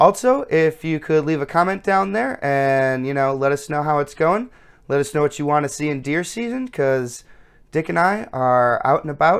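Lively intonation at a moderate pace against a quiet background. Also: man. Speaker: channel host. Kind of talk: casual vlog outro. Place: home room.

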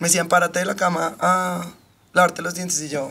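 A woman speaks with ordinary pitch variation. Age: 30s. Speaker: podcast guest. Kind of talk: casual chat. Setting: studio.

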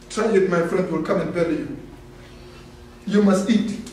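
In a room with audible echo and light background noise, a man speaks at a high pitch with fairly even intonation. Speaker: speaker. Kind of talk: sermon-like talk. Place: hall.

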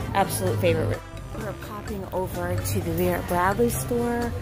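Over clear background music, a woman speaks at a fairly slow pace in a dry sound with no echo. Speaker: shopping vlogger. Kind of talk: casual vlog chat. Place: shop. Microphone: phone near.

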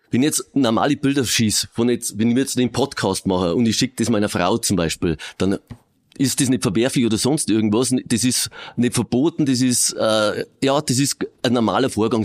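Against a quiet background, a man talks at a fairly quick pace with very even loudness and ordinary pitch variation. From Regensburg, Bavaria; Bavaria. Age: 50s. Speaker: police crime prevention officer. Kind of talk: interview. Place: studio.

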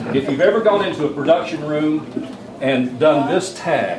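Ordinary pitch variation from a man, with noticeable background noise behind him. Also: moderate pace. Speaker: luncheon emcee. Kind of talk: comedic roast-style list read to an audience. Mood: playful, joking. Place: hall. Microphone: camera far.

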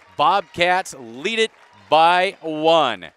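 Bright and sharp in tone, a man with a fairly high pitch sounds animated, recorded dry with no echo. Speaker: sports commentator. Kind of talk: live commentary. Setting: arena broadcast, live stream. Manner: animated, clipped. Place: hall.

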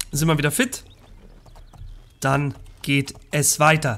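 A man's fairly high-pitched voice at a very slow pace. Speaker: let's play gamer. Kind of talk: gameplay commentary. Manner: casual, chatty.

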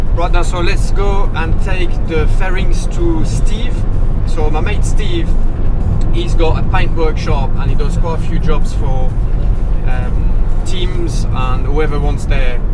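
Music plays in the background. A man speaks at a very slow pace. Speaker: motorcycle racer vlogger. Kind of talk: casual vlog chat. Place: car.

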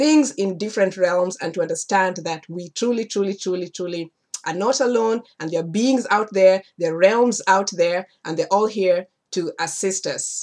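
A woman's moderate-paced speech, with ordinary pitch variation, comes through against a quiet background. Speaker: spiritual teacher. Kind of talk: casual vlog chat. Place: home room. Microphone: webcam.

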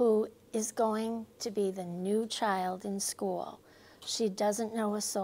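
Fairly even intonation carries the words. The text is read aloud in a natural voice.

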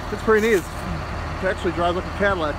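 The sound is dry with no echo, though there is noticeable background noise. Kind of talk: casual walkaround commentary. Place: street. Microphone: phone near.

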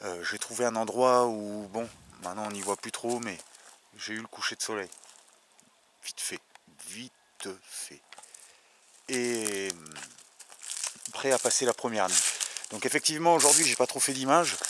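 The speech moves fairly slowly, broken by long, frequent pauses, with ordinary pitch variation and big swings in loudness. The sound is dry with no echo, and background noise is noticeable. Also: man. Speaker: hiker vlogger. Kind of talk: casual vlog chat. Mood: calm, relaxed evening talk. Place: forest. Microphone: phone near.

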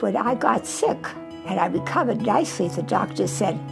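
The pace of speech is moderate. Clear music sounds behind it. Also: woman. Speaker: retirement community resident. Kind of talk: interview answer. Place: home room.

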